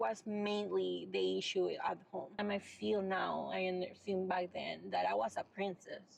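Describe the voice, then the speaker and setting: A woman at a fairly slow pace with hardly any pauses. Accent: Venezuelan. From Venezuela. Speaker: mental health advocate. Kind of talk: casual chat.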